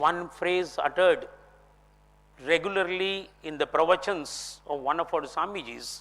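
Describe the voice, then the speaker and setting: At a fairly slow pace, a man talks with a Kannada accent in a high pitch. His tone is bright and sharp, and his intonation fairly even. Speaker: philosophy speaker. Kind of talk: lecture. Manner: formal.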